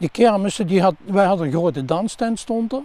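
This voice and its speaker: Ordinary pitch variation and a dark, mellow tone from a man. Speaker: son of a former innkeeper, local resident. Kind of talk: interview recollection. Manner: halting.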